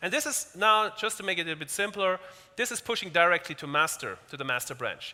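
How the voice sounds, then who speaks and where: With a raised, projected voice, a man talks at a fairly quick pace, his bright, sharp tone set at a high pitch and moving through very wide pitch swings. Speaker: tech company speaker. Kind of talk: technical demo talk. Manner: fast; halting, many repetitions.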